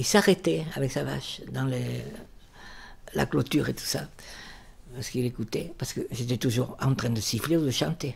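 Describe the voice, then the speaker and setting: At a moderate pace, a woman speaks with vocal fry. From Bordeaux, raised in the Basque Country. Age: 80s+. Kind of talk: life-story interview answer.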